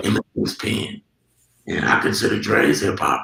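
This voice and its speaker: A man speaks at a moderate pace. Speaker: rapper and songwriter. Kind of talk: interview answer. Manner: casual, profane.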